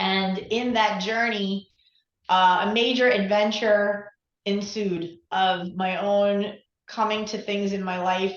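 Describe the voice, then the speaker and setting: A woman's medium-pitched voice with an American accent, flat monotone intonation and audible room echo. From New York. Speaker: relationship coach. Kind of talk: interview.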